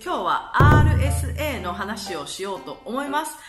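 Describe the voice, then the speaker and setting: A woman is speaking. Clear music can be heard behind her. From Kansai, Japan. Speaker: vlogger. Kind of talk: casual talk to camera. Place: home room. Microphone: phone near.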